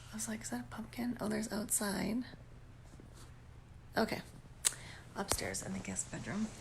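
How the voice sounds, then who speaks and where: Audible echo from the room surrounds the voice. The speaker is a woman. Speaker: vlogger. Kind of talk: casual chat. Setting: home at night, upstairs guest bedroom. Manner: conversational, animated.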